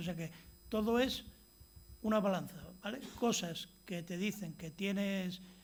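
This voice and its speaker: A man's high-pitched voice at a moderate pace, with ordinary pitch variation and audible room echo. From Spain, Asturias (Gijón). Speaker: physician, lecturer. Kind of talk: lecture. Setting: stage with audience. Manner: halting, many false starts.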